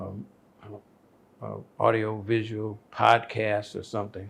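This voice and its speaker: An American-accented man at a medium pitch, at a very slow pace. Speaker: educator and Akan chief. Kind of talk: interview answer.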